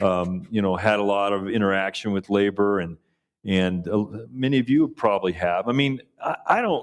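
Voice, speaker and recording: In a normal speaking voice, a man delivers his words at a moderate tempo, his fairly low pitch showing ordinary variation. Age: 60s. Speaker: political panelist, Democrat. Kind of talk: panel discussion.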